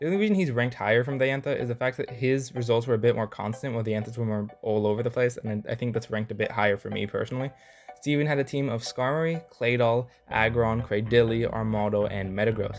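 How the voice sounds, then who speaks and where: Music plays behind a man who talks very fast with hardly any pauses. His medium-pitched voice keeps a fairly even intonation. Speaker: YouTube gaming commentator. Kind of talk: video commentary. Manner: halting, stuttering; casual.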